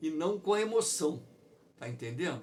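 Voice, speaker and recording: A man speaks at a fairly slow pace, his voice somewhat breathy with very wide pitch swings. Room echo is audible. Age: 60s. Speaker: geography teacher. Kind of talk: online lecture.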